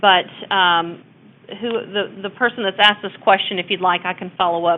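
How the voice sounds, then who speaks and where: Here a woman speaks with a Texas accent. Her pitch is medium and her intonation fairly even. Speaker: abuse prevention consultant. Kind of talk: webinar presentation. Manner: casual, hesitant with fillers.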